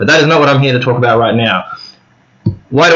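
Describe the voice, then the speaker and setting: In an Australian accent, a man speaks with ordinary pitch variation amid audible room echo. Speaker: book vlogger. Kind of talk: casual monologue to camera. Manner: halting, with fillers.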